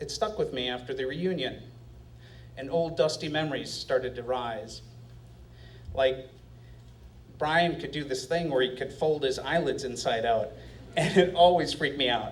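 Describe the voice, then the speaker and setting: A somewhat breathy man with fairly high pitch and ordinary pitch variation, at a moderate pace with long, frequent pauses. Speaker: storyteller. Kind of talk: live storytelling performance. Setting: live stage with audience.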